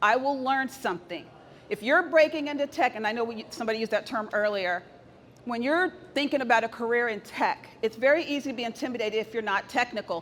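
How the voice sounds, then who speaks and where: A woman speaks at a very fast pace with an American accent. Her voice is high-pitched, with ordinary pitch variation. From Texas. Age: 50s. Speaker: tech executive. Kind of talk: conference talk. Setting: stage with audience. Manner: soft-spoken.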